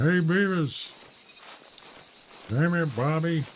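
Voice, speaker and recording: A put-on character voice at a middle pitch comes through clear background noise. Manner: gruff, yelling.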